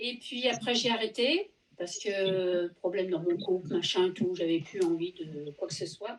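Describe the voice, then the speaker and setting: A woman's unremarkable speaking voice at medium pitch, with ordinary pitch variation and a moderate pace. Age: 60s. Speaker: knitting subscriber guest. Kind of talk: casual chat.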